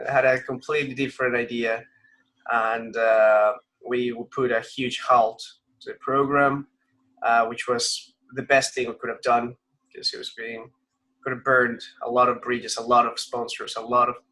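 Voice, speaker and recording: A man with a Spanish accent, his speech broken by long, frequent pauses. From Colombia, Bogotá. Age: 30s. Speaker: racing driver. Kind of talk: interview. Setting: video call.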